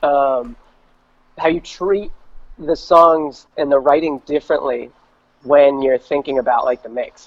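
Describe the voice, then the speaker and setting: Pausing long and often, a man with an American accent speaks fairly slowly at a fairly high pitch, with ordinary pitch variation. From New York and New Jersey. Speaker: independent singer and producer. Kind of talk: casual interview chat. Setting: remote call.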